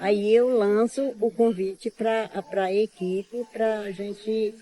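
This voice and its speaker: A woman speaks very slowly at a medium pitch, her intonation fairly even and her tone dark and mellow, in a dry, close sound with no echo. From Brazil, Pará (Alter do Chão, Amazon region). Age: 80s+. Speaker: traditional prayer leader. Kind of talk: interview. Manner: halting, many repetitions and fillers.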